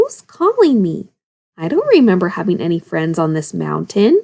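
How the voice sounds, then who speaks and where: In a put-on character voice, a female-sounding speaker growls and rumbles at a moderate pace. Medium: read story. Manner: grumbling.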